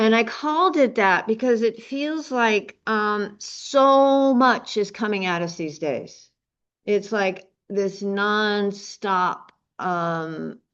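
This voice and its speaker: A woman's fairly high voice with lively intonation, a very slow pace and a quiet background. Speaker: meditation teacher. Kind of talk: dharma talk. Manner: halting; projects to the room.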